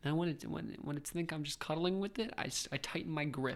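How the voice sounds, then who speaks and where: A man with an ordinary speaking voice talks at a fairly quick pace with a fairly high pitch. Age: 20s. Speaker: college podcast co-host. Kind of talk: casual chat.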